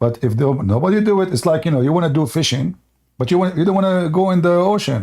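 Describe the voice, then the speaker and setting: A very fast man's voice in an Arabic accent, dark and mellow in tone, fairly high-pitched, with lively intonation and very even loudness. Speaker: religious debate livestream host. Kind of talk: heated debate. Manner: animated, insistent; halting, many fillers.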